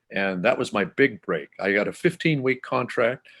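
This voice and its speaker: The pitch swings very widely at a fairly quick pace. The speaker has a Canadian accent. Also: man. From southern Manitoba, Canada. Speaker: classical music broadcaster. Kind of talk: interview.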